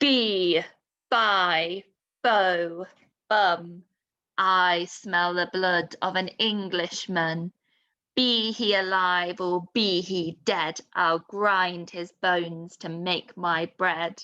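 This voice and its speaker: A female-sounding voice performs a booming, put-on character voice at a medium pitch. The pace is very slow. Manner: menacing.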